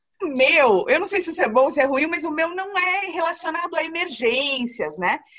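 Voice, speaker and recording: At a moderate pace, a woman speaks with an extremely high pitch and lively intonation. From Paraná, Brazil. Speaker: flight attendant. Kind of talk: interview answer.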